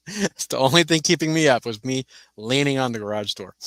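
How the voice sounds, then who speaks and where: A loud man speaks with very wide pitch swings on a very clean recording with a silent background. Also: dry, close sound with no echo. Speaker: YouTuber hosting a live stream. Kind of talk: casual live stream chat. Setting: home studio.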